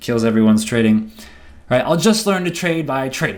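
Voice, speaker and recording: A man talks at a fairly quick pace with lively intonation in a very clean recording with a silent background. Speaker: trading educator. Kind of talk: seminar lecture. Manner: fast.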